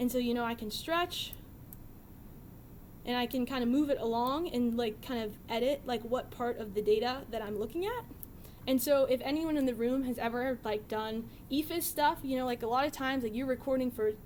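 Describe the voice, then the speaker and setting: A woman talks at a fairly quick pace in a high pitch with ordinary pitch variation. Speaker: software developer presenting a data visualization library. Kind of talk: technical talk with live demo. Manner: fast.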